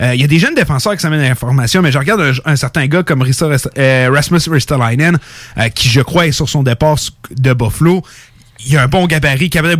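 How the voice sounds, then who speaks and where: A man with a fairly high pitch and ordinary pitch variation speaks at a fairly quick pace in a plain, everyday voice. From Canada. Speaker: hockey fan commentator. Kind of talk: casual chat.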